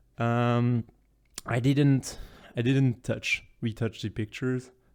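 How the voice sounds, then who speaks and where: Very slow speech from a man with a French accent, on a very clean recording with a silent background. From France. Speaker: content creator presenting travel photos. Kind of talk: casual presentation. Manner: halting, many fillers.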